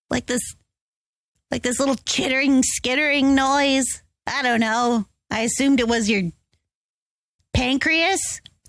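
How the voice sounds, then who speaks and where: In a put-on character voice, the speaker goes at a fairly slow pace with long, frequent pauses. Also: female-sounding voice, high pitch for a woman. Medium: actual play.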